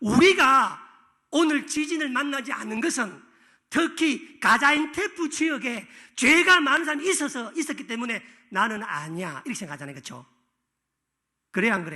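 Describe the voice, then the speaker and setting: A man speaks at an extremely high pitch in a bright, sharp, animated tone, his voice raised and projected. His intonation is lively, his pace moderate, with long, frequent pauses and big swings in loudness. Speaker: pastor. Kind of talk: sermon.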